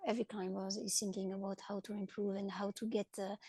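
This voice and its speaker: A woman with a French accent talks at a very fast pace in a fairly high, somewhat breathy voice with a dark, mellow tone and a dry, close sound with no echo. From France. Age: 30s. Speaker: paraclimbing athlete. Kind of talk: interview. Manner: halting.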